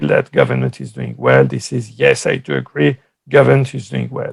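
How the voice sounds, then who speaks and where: With a French accent, this man is talking. He keeps to a moderate pace. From France. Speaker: political science professor. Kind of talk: conference talk.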